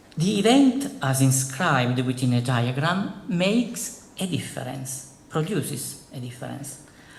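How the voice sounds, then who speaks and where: Speaking fairly slowly with lively intonation, a man with a fairly high pitch is heard over noticeable background noise. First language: Italian. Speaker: philosophy professor. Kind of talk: lecture. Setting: conference hall with audience. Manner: formal.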